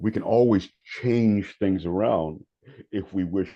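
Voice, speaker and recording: With an American accent, a man speaks at a very deep, low pitch. His pace is fairly slow, and his pitch varies in an ordinary way. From North Carolina, Raleigh. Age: 70s. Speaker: meditation teacher and prison volunteer. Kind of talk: podcast interview. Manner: halting, repeats words.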